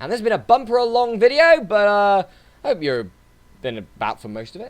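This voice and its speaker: A man talks at a fairly quick pace in a high voice with very wide pitch swings. His loudness rises and falls sharply. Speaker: gaming YouTuber. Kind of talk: casual chat. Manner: animated.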